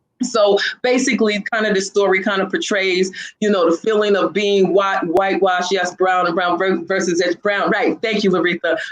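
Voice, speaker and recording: A woman of medium pitch keeps fairly even intonation and very even loudness. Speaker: talk show host. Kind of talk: casual discussion. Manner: fast; halting.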